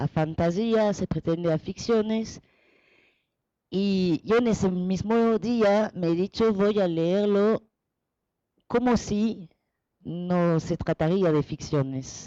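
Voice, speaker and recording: Very slow and dark, mellow in tone, a woman speaks at medium pitch with ordinary pitch variation in a dry, close sound with no echo. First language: French (speaking Spanish). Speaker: researcher and translator. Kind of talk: presentation. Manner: halting.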